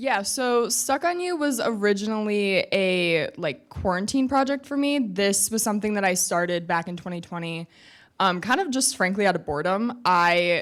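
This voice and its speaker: Recorded very cleanly against a silent background, a woman with an ordinary speaking voice talks at a moderate pace, her medium pitch carrying lively intonation. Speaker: student entrepreneur. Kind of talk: panel discussion.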